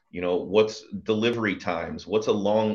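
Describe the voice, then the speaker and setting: Against a quiet background, a man talks at a moderate pace. His pitch is fairly low and his intonation fairly even. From Pennsylvania, Bucks County near Philadelphia. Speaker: construction executive, lean practitioner. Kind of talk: interview conversation. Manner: hesitant, many fillers.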